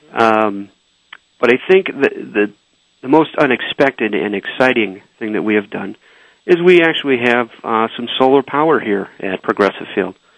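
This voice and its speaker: Lively intonation marks this man's delivery at a moderate pace. He has a normal speaking voice with a medium pitch. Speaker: ballpark operations director. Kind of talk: radio interview.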